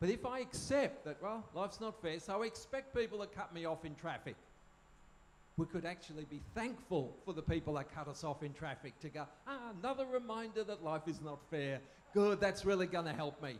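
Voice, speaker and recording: A man with an Australian accent speaks at a high pitch. His pace is fairly quick and his intonation lively. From Australia (moved from German-speaking country as child). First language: German. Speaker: speaker on parenting. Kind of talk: talk to live audience. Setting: tent at camp with audience.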